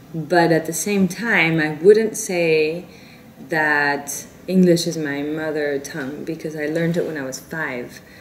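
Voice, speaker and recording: A woman with a Spanish accent speaks at a fairly slow pace in a very deep, low voice, with fairly even intonation, big swings in loudness, audible room echo and noticeable background noise. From South Korea, South Africa, India. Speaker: novelist. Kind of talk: interview. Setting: Paris interview. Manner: halting, self-correcting.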